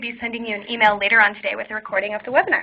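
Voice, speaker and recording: A woman speaks over noticeable background noise. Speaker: webinar host. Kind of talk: webinar presentation. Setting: online webinar. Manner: fast.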